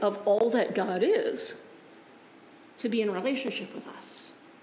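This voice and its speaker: A woman speaks at a very slow pace with very wide pitch swings, and audible room echo surrounds her voice. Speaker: Lutheran pastor. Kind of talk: sermon. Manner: conversational, informal. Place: church.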